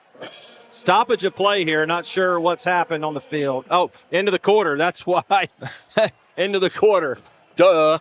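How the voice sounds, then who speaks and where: A man speaks loudly at a fairly slow pace, his pitch high for a man. Music plays in the background. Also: ordinary pitch variation. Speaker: play-by-play commentator. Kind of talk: live sports commentary.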